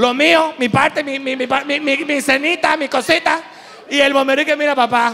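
A man with a Venezuelan accent speaks at a fairly slow pace in a raised, projected voice at an extremely high pitch with fairly even intonation. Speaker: comedian. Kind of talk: stand-up. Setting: stage with audience. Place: stage. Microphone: handheld.

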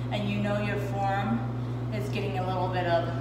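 A woman speaks in a room with audible echo over loud background noise. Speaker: fitness instructor. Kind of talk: workout tutorial instructions and counting. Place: gym. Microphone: camera far.

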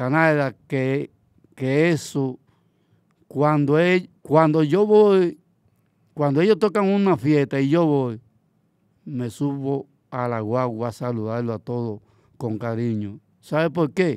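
At a very slow pace with long, frequent pauses and lively intonation, someone speaks in a very clean recording with a silent background. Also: man, fairly high pitch for a man. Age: 60s. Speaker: bachata promoter. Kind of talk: casual interview. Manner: halting.

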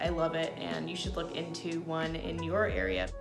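A woman talks at a moderate speed with clear music behind her. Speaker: home cooking vlogger. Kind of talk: casual vlog chat. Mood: warm, upbeat. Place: home room. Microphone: phone near.

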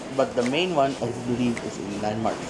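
Music plays behind a man's voice. He speaks at a moderate pace. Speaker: food vlogger. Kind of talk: casual vlog chat. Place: cafe. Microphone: lapel.

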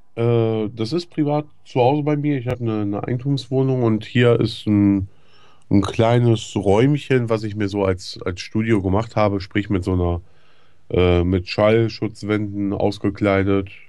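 Against a quiet background, a man talks at a fairly slow pace with a fairly low pitch, a dark, mellow tone and ordinary pitch variation. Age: 30s. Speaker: YouTube gaming commentator. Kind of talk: interview. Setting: home recording room. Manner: halting. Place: studio.

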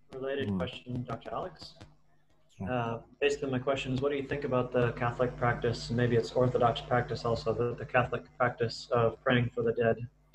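Over noticeable background noise, a man speaks at a fairly quick pace in a monotone, flat intonation. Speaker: seminar moderator. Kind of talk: closing prayer. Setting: video call. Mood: calm, gentle. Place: home room. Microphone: webcam.

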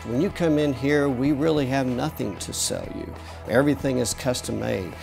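Clear music plays in the background. A man is speaking. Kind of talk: interview answer. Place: shop. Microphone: lapel.

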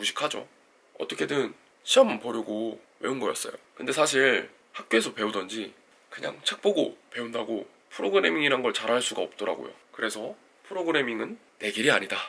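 Noticeable noise sits in the background. Over it, a man talks fairly quickly. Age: 30s. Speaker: engineering graduate student and coding YouTuber. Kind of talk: scripted talk to camera.

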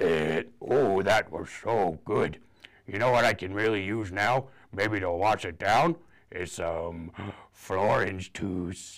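Doing a raspy, cartoonish character voice, a man speaks at a very slow pace with a fairly low pitch. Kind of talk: children's storytime puppet voice. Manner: playful, gobbling, silly.

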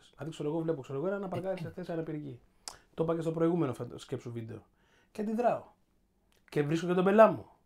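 The speech races at a very fast pace yet breaks into long, frequent pauses. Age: 40s. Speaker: podcast host. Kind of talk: casual chat.

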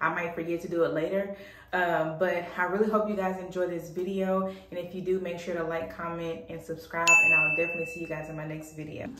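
Over light background noise and with audible room echo, a woman talks at a fairly quick pace in a monotone, flat voice, hardly pausing at all. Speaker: beauty vlogger. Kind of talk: casual vlog chat. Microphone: phone near.

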